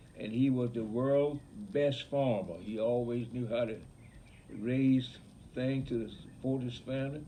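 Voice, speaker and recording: A man with an Alabama accent speaks at medium pitch in a dark, mellow tone with fairly even intonation. Long, frequent pauses break up his speech, and room echo is audible. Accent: rural Southern US (Alabama). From US South, rural Alabama (Bullock County). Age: 80s+. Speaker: grandfather, retired farmer. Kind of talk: casual family interview, storytelling. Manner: halting, self-correcting.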